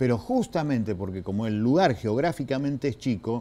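Very wide pitch swings mark this man's voice, which has a dark, mellow tone. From Argentina. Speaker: provincial legislator; guest. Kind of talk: political interview. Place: studio. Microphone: lapel.

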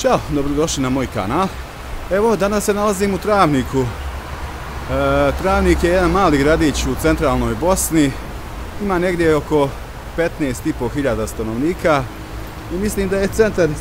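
Over noticeable background noise, a man talks at a moderate pace. His intonation is lively, broken by long, frequent pauses. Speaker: travel vlogger. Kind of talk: casual vlog chat. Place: street. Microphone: phone near.

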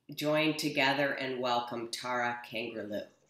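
Against a quiet background with audible room echo, a woman speaks fairly slowly in a very deep, low voice with fairly even intonation. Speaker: nonprofit executive director. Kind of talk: speaker introduction. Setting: video call. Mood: warm, welcoming. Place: office. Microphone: webcam.

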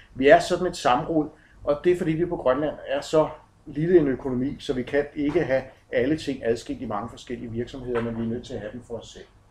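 Somewhat breathy and fairly high-pitched, a man talks at a fairly quick pace with ordinary pitch variation and big swings in loudness. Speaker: project manager giving a talk. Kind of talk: conference presentation. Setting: conference with slides. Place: hall. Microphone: camera far.

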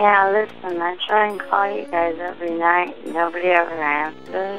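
Ordinary pitch variation at a moderate pace, with faint music in the background. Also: woman, fairly low pitch for a woman. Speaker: caller, late-night phone caller. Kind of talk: casual phone call. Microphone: phone line.

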